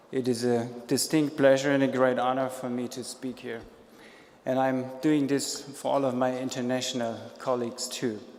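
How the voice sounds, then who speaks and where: Speaking with a German accent at a moderate pace, a man keeps a medium pitch and monotone, flat intonation over noticeable background noise. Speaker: speaker giving a tribute speech, international colleague. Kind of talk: formal speech. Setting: stage.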